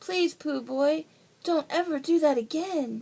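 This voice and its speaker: A woman speaks in a put-on character voice, high-pitched and squeaky. Her pace is fairly slow. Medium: read story.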